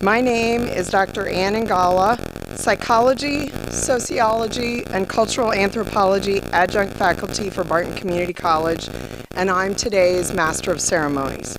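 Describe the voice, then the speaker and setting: Noticeable background noise sits behind a woman of medium pitch. She speaks at a moderate pace with ordinary pitch variation. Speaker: master of ceremonies, college adjunct faculty. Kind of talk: ceremony hosting. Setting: auditorium ceremony with audience. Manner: formal.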